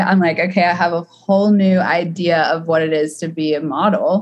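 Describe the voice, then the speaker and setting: Somewhat breathy and fairly low-pitched, a woman with an American accent speaks at a moderate pace. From US South, Atlanta. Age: 20s. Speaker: photographer. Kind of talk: casual interview chat.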